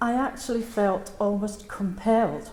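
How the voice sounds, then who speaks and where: A woman with a Scottish accent, her pitch fairly high, her pace fairly slow. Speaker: Bethany Home survivor. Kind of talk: memorial speech.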